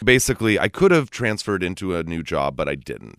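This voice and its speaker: This man has a Californian accent and lively intonation. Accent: Californian American. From US West Coast, California Bay Area. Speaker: recovery guest co-host. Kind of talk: casual chat. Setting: studio.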